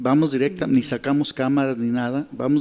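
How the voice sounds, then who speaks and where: Speaking fairly quickly, a man with a medium pitch keeps his intonation flat and monotone. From Mexico, Michoacán. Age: 60s. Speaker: journalist and local fixer. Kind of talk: interview testimony. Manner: halting, with repetitions.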